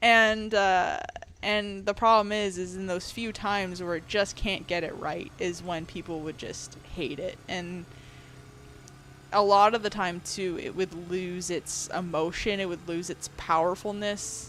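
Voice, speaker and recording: At a fairly slow pace, a woman speaks in a plain, everyday voice at a medium pitch with fairly even intonation. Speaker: video game streamer. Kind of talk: live stream chat, reading and answering chat. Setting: live stream. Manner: casual, conversational with fillers.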